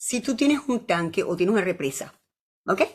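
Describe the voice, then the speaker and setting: A woman talks at a fairly quick pace in an animated tone, with a fairly high pitch, very wide pitch swings and vocal fry. The recording is very clean, with a silent background. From Venezuela. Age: 70s. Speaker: physician and university professor. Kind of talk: casual chat.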